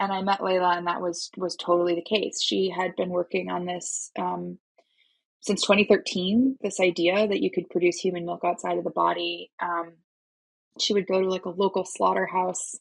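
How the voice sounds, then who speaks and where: Speaking with an American accent, a woman keeps a moderate pace. The background is quiet. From Minnesota, US. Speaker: startup founder and CEO. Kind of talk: podcast interview.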